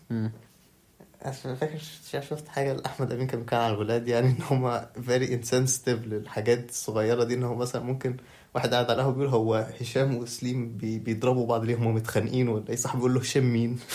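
Delivered at a very fast pace, the speech has a dark, mellow tone and a monotone, flat intonation. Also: man, medium pitch for a man. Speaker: podcast guest, university student. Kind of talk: casual chat. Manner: soft-spoken.

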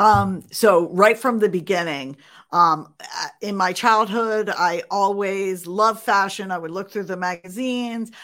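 On a very clean recording with a silent background, a woman of medium pitch talks at a fairly slow pace, with ordinary pitch variation and big swings in loudness. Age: 50s. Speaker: entrepreneur and author. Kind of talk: interview conversation.

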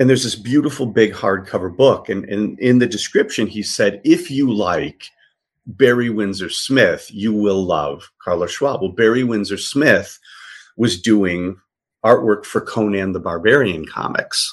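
A man with an American accent speaks in a normal speaking voice at medium pitch. His intonation is lively and his pace fairly slow. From US Midwest, south side of Chicago. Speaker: art dealer. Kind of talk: casual interview.

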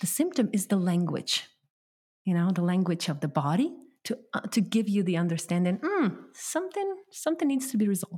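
At a fairly quick pace, a woman with a medium pitch and a dark, mellow tone sounds somewhat breathy, her pitch making very wide swings. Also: very even loudness. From Ukraine. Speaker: hypnotherapist. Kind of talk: interview.

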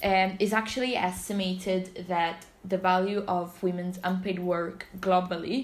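A woman with an Italian accent speaks at a very slow pace and medium pitch. Her intonation is monotone and flat, with audible room echo around her. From Italy, Naples. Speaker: student society member presenting research. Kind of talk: casual chat. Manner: flat when reading statistics.

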